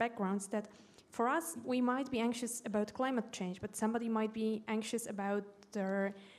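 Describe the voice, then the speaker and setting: Speaking with a Polish accent, a woman at a fairly high pitch moves at a fairly quick pace with fairly even intonation. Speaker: educator. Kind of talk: panel discussion.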